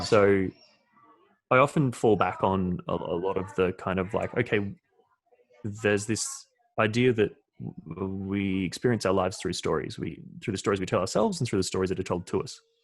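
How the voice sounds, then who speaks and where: A man talks in a normal speaking voice at a moderate pace. His pitch is fairly low, with ordinary pitch variation. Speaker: experience designer. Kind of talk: interview answer.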